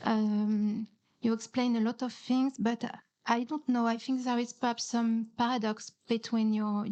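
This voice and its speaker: The delivery has monotone, flat intonation. The pace is fairly slow. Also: woman. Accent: non-native. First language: not English. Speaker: audience member at a conference panel. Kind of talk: audience question in panel Q&A. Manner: halting, many hesitations and repeats.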